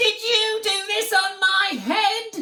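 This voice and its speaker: Squeaky and extremely high-pitched, this is a put-on character voice. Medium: read story.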